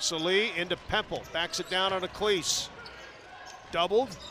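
A man with a high pitch talks at a moderate pace in a dry sound with no echo, with noticeable background noise behind him. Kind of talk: live commentary. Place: stadium. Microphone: headset.

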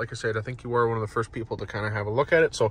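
Dry sound with no echo, from a man speaking. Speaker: car salesperson. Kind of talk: casual product walkaround for a customer. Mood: friendly, upbeat. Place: car.

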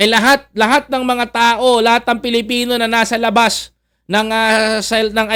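A man speaks at a moderate pace in a high voice with a bright, sharp tone and monotone, flat intonation. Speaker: political commentary vlogger. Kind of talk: political commentary monologue. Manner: halting, many fillers.

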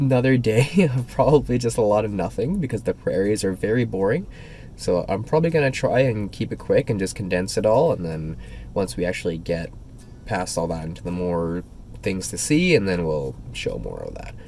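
This man talks at a moderate pace with a fairly low pitch, vocal fry and very wide pitch swings, recorded dry with no echo over light background noise. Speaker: EV road trip vlogger. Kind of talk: casual vlog chat. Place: car. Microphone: phone near.

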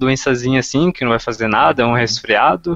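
A man's medium-pitched voice, with a dry sound with no echo and a quiet background. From Brazil. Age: 20s. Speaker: online Russian teacher and student; online Russian teacher. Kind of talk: casual chat. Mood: concerned but relaxed. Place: home room. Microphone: headset.

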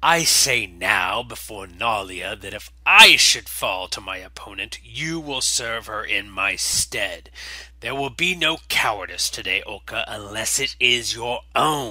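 A raspy, put-on character voice from a man at medium pitch, fairly slow, with big swings in loudness, some hissing and light background noise. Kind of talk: solemn, formal challenge speech. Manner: arrogant, contemptuous, threatening.

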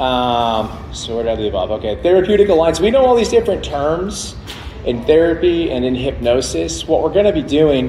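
A man talks at a moderate pace with lively intonation. Room echo is audible over light background noise. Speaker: presenter. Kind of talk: lecture. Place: hall.

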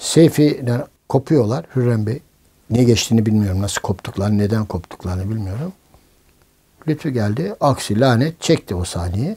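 Somewhat breathy and dark, mellow in tone, a man speaks at a moderate pace. His intonation is lively. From Istanbul, Turkey. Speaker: film director and producer. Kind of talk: oral history interview answer. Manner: casual, anecdotal. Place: home room.

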